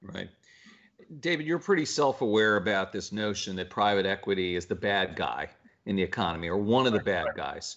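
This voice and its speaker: With an ordinary speaking voice, a man talks at a fairly low pitch. His intonation is lively and his pace fairly quick. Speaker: interviewer. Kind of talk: interview.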